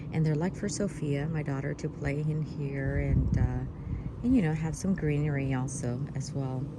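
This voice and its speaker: Whispering at a moderate pace, a woman is heard over noticeable background noise with audible room echo. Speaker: gardening vlogger. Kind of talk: casual garden tour narration. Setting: outdoors in backyard garden.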